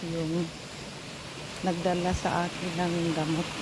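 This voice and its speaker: Over noticeable background noise and audible room echo, a woman with a fairly low pitch speaks at a very slow pace. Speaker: vlogger. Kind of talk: casual vlog narration.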